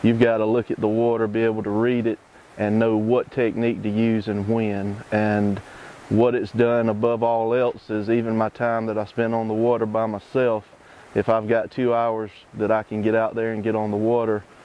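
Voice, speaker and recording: Speaking with a Southern US accent, a man keeps his intonation monotone and flat. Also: medium pitch for a man, moderate pace. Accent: Southern US (Georgia). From US South, Georgia (Lawrenceville). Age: 40s. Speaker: competitive fly fisherman. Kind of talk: interview monologue. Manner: casual, with many fillers (um, uh).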